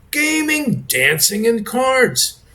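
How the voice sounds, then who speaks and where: Speaking at a very slow pace, a man uses a high pitch with very wide pitch swings. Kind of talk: informal talk to camera reading a comment reply. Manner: stuttering, hesitant.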